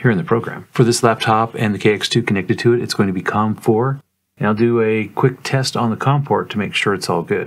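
The speaker is a man with a fairly low pitch and ordinary pitch variation. He talks at a fairly quick pace.

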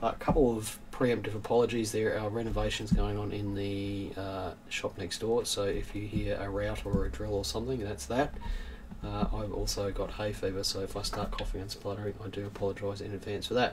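A man talks fairly quickly while noticeable noise sounds in the background. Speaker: coin dealer hosting a news stream. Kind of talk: casual livestream commentary. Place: shop.

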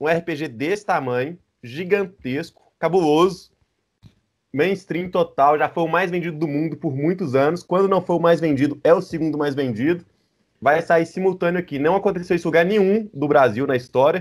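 A man with a high pitch talks at a moderate pace, his pitch rising and falling in an ordinary way against a quiet background. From Brazil. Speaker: RPG translator; guest. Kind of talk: casual chat. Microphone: video call.

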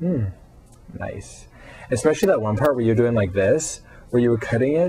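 A man with an American accent and a plain, everyday voice speaks at a moderate pace. His pitch is medium and his intonation lively. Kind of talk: casual video response talk to camera.

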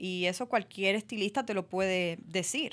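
Moderate pacing from a female speaker. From Dominican Republic. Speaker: actress; interview guest, actress. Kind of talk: radio interview. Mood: calm, reflective. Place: studio. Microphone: studio mic.

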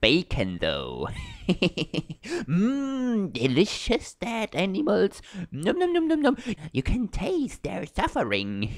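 In a cartoonish character voice, a man speaks high for his sex at a very slow pace. Long pauses come often. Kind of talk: comic overacting.

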